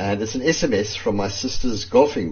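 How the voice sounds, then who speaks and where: Audible echo from the room surrounds the voice. It belongs to a man and sounds somewhat breathy. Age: 60s. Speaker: journalist. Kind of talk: personal testimony.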